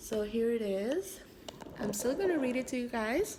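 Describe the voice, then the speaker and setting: Noticeable background noise surrounds a woman speaking in a French accent at a high pitch. Her intonation is lively and her pace very slow. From Canada. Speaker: amateur writer. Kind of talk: reading aloud; casual chat. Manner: halting.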